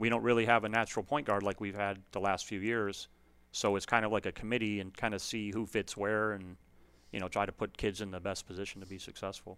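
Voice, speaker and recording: A man's fairly low voice with an American accent, very fast and monotone with flat intonation, on a very clean recording with a silent background. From US Midwest, Illinois (Chicago area). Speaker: high school basketball coach. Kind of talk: casual interview.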